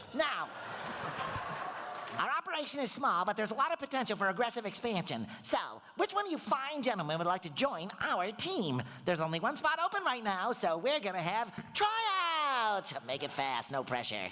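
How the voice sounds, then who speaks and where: A put-on character voice with a fairly high pitch comes through over light background noise. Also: moderate pace. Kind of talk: comic overacting. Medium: stage play. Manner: sing-song, mischievous.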